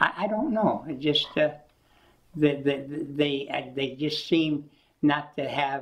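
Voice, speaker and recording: Very slowly, a man with an American accent talks at a fairly high pitch against a quiet background. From US Midwest, Michigan. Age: 80s+. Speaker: collector and retired military electronics worker; interviewee. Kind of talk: oral history interview. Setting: at home. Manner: halting, frequent repetitions and fillers. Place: home room.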